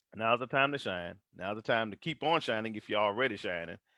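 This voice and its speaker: A man speaks with a Texas accent in an animated tone. His intonation is lively, and the sound is dry and close with no echo. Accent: deep Texas. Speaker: motivational vlogger. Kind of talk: motivational live stream monologue. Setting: Facebook live stream.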